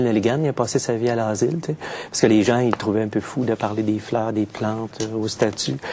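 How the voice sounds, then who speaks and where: With a Quebec accent, a man speaks at a very fast pace in a medium pitch with fairly even intonation over noticeable background noise. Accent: Québécois. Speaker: poet. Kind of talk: interview. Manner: hesitant, many fillers.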